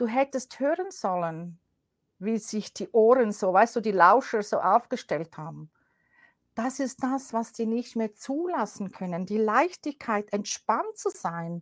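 A woman's fairly high, lively voice at a very slow pace, dry and close with no echo, on a very clean recording with a silent background. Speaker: coach, former media professional. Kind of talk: interview.

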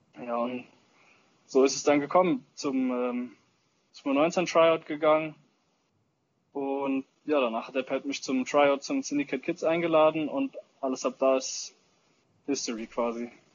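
A man with a fairly high voice talks at a fairly slow pace. His intonation stays fairly even, broken by long, frequent pauses. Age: 20s. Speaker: paintball player and social media influencer. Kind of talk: casual chat.

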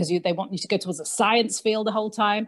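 Over a quiet background, a woman with an English accent speaks with fairly even intonation. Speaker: podcast co-host and convert community worker. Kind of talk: casual discussion. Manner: talkative.

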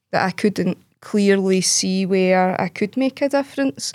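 A woman with a Glaswegian accent speaks at a moderate pace, with a dry, close sound with no echo on a very clean recording with a silent background. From Glasgow East End, Scotland. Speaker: poet. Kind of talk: roundtable discussion.

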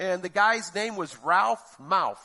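A man's high, raised and projected voice at a moderate pace. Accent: American. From Florida, US. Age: 50s. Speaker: lay preacher. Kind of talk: sermon.

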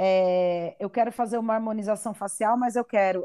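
Against a quiet background, a woman with a fairly high, animated voice speaks with ordinary pitch variation, and the sound is dry and close with no echo. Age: 30s. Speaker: podcast host and actress. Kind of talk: casual chat.

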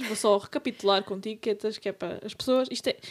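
Her voice is fairly high for a woman, with fairly even intonation and an unremarkable speaking voice. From Portugal, Serra region. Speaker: podcast co-host. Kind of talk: casual chat.

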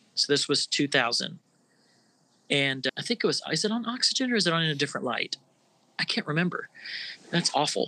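A man with an American accent speaks at a fairly quick pace in a high, bright, sharp tone, his pitch swinging very widely between long, frequent pauses, in a dry, close sound with no echo. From Florida. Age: 50s. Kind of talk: casual interview.

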